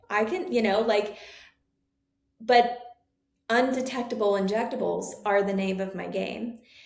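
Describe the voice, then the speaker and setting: With long, frequent pauses and a fairly slow pace, a woman speaks at a fairly high pitch in an animated tone, with ordinary pitch variation and audible room echo. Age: 30s. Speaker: nurse practitioner and med spa owner. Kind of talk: interview.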